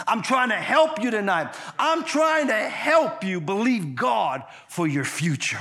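Raising and projecting his high-pitched voice over noticeable background noise, a man speaks at a fairly slow pace in an animated tone with very wide pitch swings. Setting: church with audience. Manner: animated, exhortative preacher's delivery with call-and-response; fervent, rhythmic repetition with stumbling restarts.

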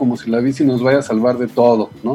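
Music playing behind a man who talks at a moderate pace. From Mexico City area (Ciudad Satélite). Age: 50s. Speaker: journalist and writer. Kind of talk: radio interview. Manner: halting.

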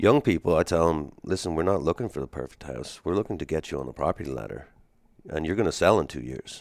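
Speaking with an American accent at a very fast pace, a man uses a very deep, low voice with vocal fry and lively intonation, in a dry, close sound with no echo on a very clean recording with a silent background. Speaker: real estate agent. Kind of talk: casual interview chat.

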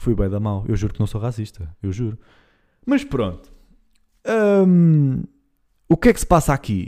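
A man's dark, mellow voice at medium pitch, moderate pace and lively intonation, with long, frequent pauses, in a very clean recording with a silent background. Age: 20s. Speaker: podcast host. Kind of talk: casual monologue.

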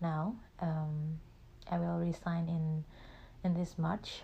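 A woman speaks with an Indonesian accent in a fairly low pitch, somewhat breathy with a dark, mellow tone. Her intonation is monotone and flat. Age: 20s. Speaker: podcast host. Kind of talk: personal monologue. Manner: halting.

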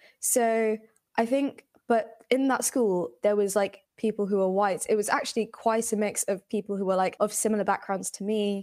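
Speaking in a London accent, a woman uses a medium pitch. Her intonation is fairly even and her pace moderate. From England, British Bengali household. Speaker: podcast guest. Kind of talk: casual chat.

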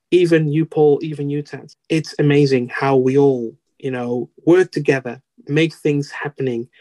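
The voice has a dark, mellow tone and fairly even intonation, moving at a moderate pace in a dry, close sound with no echo. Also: man. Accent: Dutch. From Netherlands. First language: Dutch. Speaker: Toastmasters district officer, IT professional. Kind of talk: interview, casual chat. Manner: halting, hesitant with fillers.

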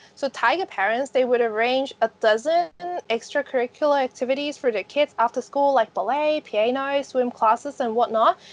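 The sound is dry and close with no echo, the speech moving at a moderate pace with ordinary pitch variation. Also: woman, high pitch for a woman. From Hong Kong. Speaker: podcast host, creative professional. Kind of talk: casual conversation podcast.

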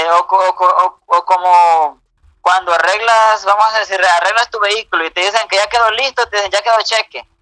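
Projecting and raised, a man speaks high for a man in a bright, sharp tone. His intonation is fairly even at a moderate pace, and the sound is dry and close with no echo. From United States. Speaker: incarcerated youtuber. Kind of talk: casual chat.

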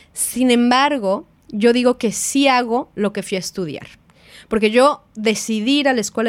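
Recorded very clean against a silent background, a woman speaks at a moderate pace with a fairly high pitch and ordinary pitch variation. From Mexico. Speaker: film producer. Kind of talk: casual chat.

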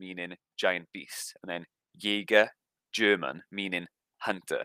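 With a South Welsh accent, a man speaks in a very deep, low voice with a bright, sharp tone. The sound is dry and close, without echo. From South Wales, Rhondda Cynon Taff. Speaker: podcast co-host. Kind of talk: casual chat.

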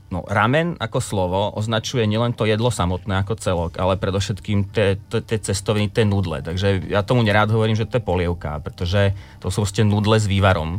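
Here a man has a plain, everyday voice pitched fairly low. His pitch variation is ordinary. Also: fairly quick pace. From Slovakia. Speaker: ramen restaurant owner. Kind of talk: interview.

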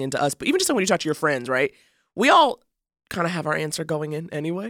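With an American accent, a woman talks at a very fast pace in a fairly low pitch, her tone animated and her intonation lively, on a very clean, dry, close recording with a silent background and no echo. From New York City (Harlem). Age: 30s. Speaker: comedian and podcast co-host. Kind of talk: casual chat. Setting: studio.

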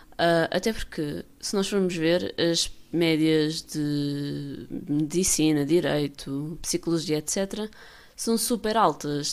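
In a very clean recording with a silent background, a woman speaks with a very deep, low pitch and ordinary pitch variation. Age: 20s. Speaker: podcast host. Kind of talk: casual monologue. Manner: filler-heavy, unfinished sentences.

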